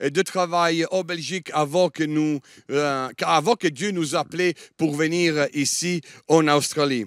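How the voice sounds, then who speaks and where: A man with a Liège accent speaks very slowly with ordinary pitch variation. The recording is very clean and silent behind him, dry and close with no echo. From Germany (Italian, born in Italy). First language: Italian (speaking French). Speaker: guest preacher. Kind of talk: sermon. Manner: halting, many hesitations.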